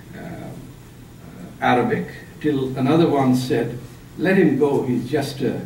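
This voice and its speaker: A man with a Punjabi accent at a moderate pace, with audible room echo and noticeable background noise. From Pakistan. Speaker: author and public speaker. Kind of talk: lecture. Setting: seminar room with audience.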